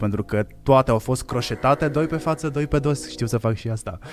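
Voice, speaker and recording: A man talks at a fairly quick pace. His voice sits at a medium pitch with ordinary pitch variation. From Hațeg, Hunedoara, Romania. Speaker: podcast marketing lead and co-host. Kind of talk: casual live podcast chat. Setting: live stream studio.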